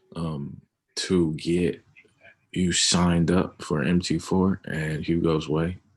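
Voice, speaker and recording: A man's very deep, low voice, very slow and monotone, against a quiet background. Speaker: forex trader. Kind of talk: casual chat. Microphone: video call.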